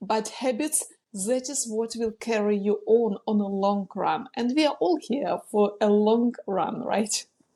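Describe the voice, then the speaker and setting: A woman in a Ukrainian accent, dark and mellow in tone, at a fairly slow pace with hardly any pauses. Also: fairly high pitch for a woman, ordinary pitch variation. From Ukraine. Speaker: business coach. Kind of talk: podcast interview. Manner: some hesitations.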